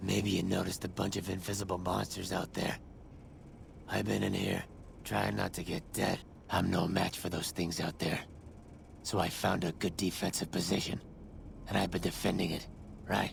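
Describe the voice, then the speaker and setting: Putting on a character voice, a man speaks at a very deep, low pitch with long, frequent pauses, with clear background noise behind him. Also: moderate pace. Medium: video game. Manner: brash then sheepish.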